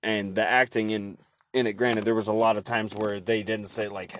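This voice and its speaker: Speaking with an American accent, a man keeps a moderate pace. His fairly low voice stays monotone and flat. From Oregon. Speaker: podcast host and HVAC tech. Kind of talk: casual chat. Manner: casual, rambling with fillers.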